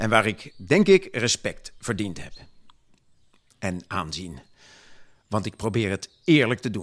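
Spoken at a fairly slow pace with lively intonation, the speech is broken by long, frequent pauses. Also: man, big swings in loudness. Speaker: gentleman farmer and municipal councillor (dramatized historical character). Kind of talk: period speech dramatization, in-character monologue delivered to an audience.

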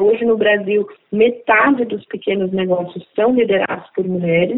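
A woman talks in a normal speaking voice at medium pitch, at a moderate pace with ordinary pitch variation. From Brazil, Alagoas (Northeast). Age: 50s. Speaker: entrepreneur. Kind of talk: interview.

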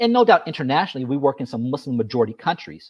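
The man speaks with a fairly high pitch. His tone is animated. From South Los Angeles, US. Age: 40s. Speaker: humanitarian advocacy advisor. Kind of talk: interview.

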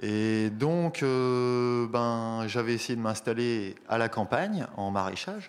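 A man at a very slow pace, medium pitch, ordinary pitch variation, very even loudness and hardly any pauses. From France, small town near Paris. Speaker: urban shepherd. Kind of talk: casual talk at a public radio event. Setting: live recording with audience.

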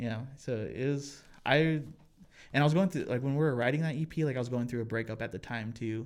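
A man has an unremarkable speaking voice, medium in pitch with ordinary variation, at a fairly quick pace. The recording is very clean, with a silent background. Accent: American. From Colorado (Pueblo). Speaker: musician. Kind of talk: casual chat.

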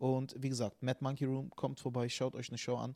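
A dark, mellow tone with monotone, flat intonation and a dry, close sound with no echo. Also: man. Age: 30s. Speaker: comedian. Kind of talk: casual chat.

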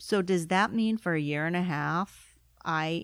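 This woman has a plain, everyday voice, pitched fairly low, with fairly even intonation and a dry, close sound with no echo. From immigrant to the US. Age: 40s. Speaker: business consultant, former lawyer. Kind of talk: interview.

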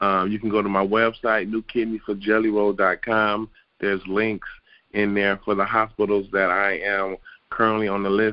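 A man with an American accent, fairly low in pitch, at a moderate pace, with monotone, flat intonation. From Detroit, Michigan. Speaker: retired football player. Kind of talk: interview.

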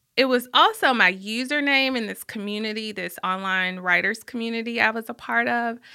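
A woman with a Southern US accent, bright and sharp in tone, at a moderate pace with ordinary pitch variation and big swings in loudness, on a very clean recording with a silent background. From Birmingham, Alabama. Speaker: journalist and author. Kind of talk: casual interview. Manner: goofy and laughing.

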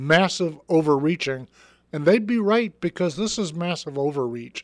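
A high-pitched man speaks at a moderate pace. His intonation is lively, and the background is quiet. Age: 60s. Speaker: talk show host. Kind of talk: political talk show.

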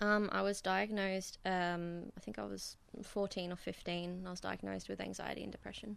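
A woman at a moderate pace with an Australian accent. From Bundaberg, Queensland, Australia. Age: 20s. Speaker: self-employed artist. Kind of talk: interview. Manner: hesitant, with fillers.

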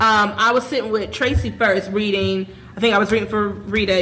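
A woman's medium-pitched, fairly quick speech amid noticeable background noise and audible room echo. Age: 20s. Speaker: podcast host and stage actor. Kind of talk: casual chat.

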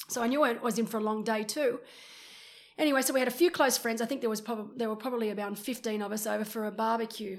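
The speech comes at a very fast pace. It carries an Australian accent. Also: woman, fairly high pitch for a woman. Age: 40s. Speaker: retired pro triathlete and commentator. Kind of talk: casual chat. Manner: animated.

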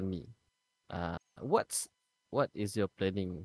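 A man with a Malaysian accent speaks at a fairly slow pace, the sound dry and close with no echo. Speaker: podcast co-host. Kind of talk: casual chat.

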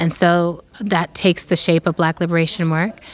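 Background noise is noticeable as a woman talks in a fairly low register. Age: 40s. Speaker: author and activist. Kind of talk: interview.

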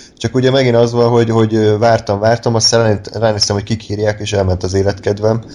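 A man speaks at a fairly low pitch in a dark, mellow tone. His intonation stays monotone and flat. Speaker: podcast host. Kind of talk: casual chat.

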